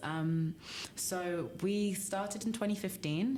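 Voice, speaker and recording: Noticeable background noise sits under a voice with a London accent and ordinary pitch variation. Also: woman. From London, England. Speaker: startup co-founder, material scientist. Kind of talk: podcast interview.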